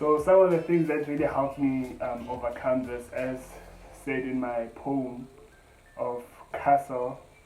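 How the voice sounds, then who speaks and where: Music plays behind a man with a medium pitch. He speaks at a fairly slow pace with fairly even intonation. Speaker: spoken word poet. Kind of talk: personal testimony. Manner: halting.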